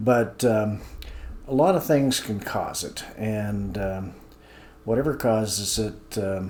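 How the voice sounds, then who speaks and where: Audible room echo surrounds a man speaking at a fairly slow pace. His pitch is fairly low, with ordinary variation. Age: 70s. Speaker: senior health video host, accountant. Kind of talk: informal talk-to-camera explainer. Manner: hesitant, many fillers.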